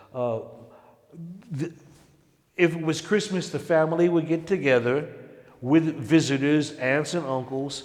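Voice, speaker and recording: A man with a New York accent speaks fairly slowly at a fairly high pitch, using ordinary pitch variation and long, frequent pauses. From Harlem, New York. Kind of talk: interview answer.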